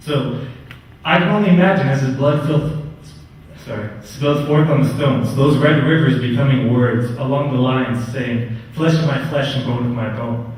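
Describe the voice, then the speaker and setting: Noticeable background noise runs under a man speaking at a moderate pace with ordinary pitch variation. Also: medium pitch for a man. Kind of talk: spoken word poetry performance. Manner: a little nervous.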